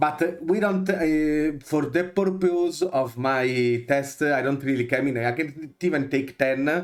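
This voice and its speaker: Speaking with an Italian accent, a man with a fairly high pitch keeps a fairly slow pace, hardly any pauses and very even loudness. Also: ordinary pitch variation. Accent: Italian accent, noticeable. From Italy. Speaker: video game content creator. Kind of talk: tutorial. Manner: halting, many fillers.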